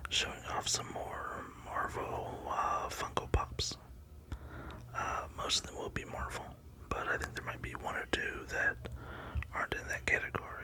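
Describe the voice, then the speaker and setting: A man whispering at a moderate pace, with long, frequent pauses and noticeable background noise. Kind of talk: ASMR collection showcase. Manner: whispering, relaxing.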